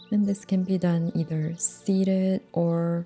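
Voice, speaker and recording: Over music in the background, the speaker goes at a very slow pace with fairly even intonation. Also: woman. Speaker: meditation guide. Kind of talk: guided meditation. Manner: calm, slow, soft-spoken.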